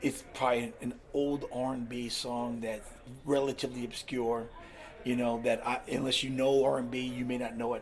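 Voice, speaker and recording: A man's medium-pitched voice with an American accent, at a moderate pace, in a monotone, flat intonation, over noticeable background noise. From US West Coast, California. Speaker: DJ and master of ceremonies. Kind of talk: casual chat. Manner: loud; halting.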